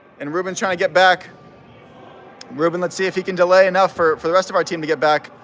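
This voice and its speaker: A loud man with a high pitch talks at a fairly quick pace. Noticeable background noise runs behind him. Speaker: amateur football commentator. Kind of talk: live commentary. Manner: animated.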